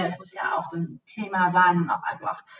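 A woman speaks at a fairly quick pace with a medium pitch. Noticeable background noise runs behind her. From Germany, Hesse (Bad Homburg). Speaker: travel company account manager. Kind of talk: interview. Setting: office. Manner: halting, many fillers.

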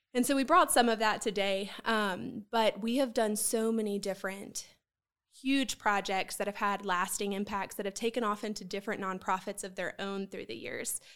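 Recorded very cleanly with a silent background, a woman talks at a moderate pace and medium pitch with fairly even intonation. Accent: Southern US. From Columbia, South Carolina. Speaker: nonprofit executive director. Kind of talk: interview.

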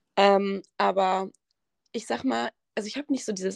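A woman speaks at a fairly quick pace, the sound dry and close with no echo. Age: 20s. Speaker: university student and gym content creator. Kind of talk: casual chat.

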